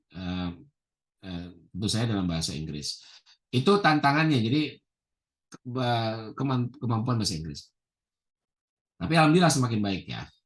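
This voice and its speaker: Long, frequent pauses break up a man's medium-pitched speech, which has very wide pitch swings. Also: moderate pace, big swings in loudness. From Indonesia. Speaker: professor. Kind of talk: interview. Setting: video call.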